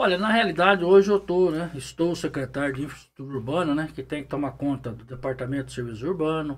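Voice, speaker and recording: Talking at a very fast pace, a man leaves hardly any pauses. His pitch is fairly high and varies in an ordinary way. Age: 60s. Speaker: municipal official and pig farmer. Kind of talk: interview.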